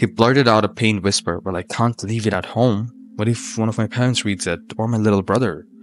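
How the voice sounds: Intonation stays fairly even. The reading voice is natural.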